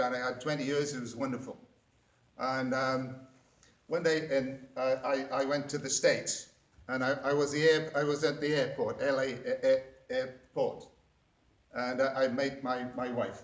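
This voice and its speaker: With an American accent, a man talks at a moderate pace in a monotone, flat intonation and a fairly high pitch. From Wales. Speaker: public speaking club member. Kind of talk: prepared speech. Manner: halting, many fillers and restarts.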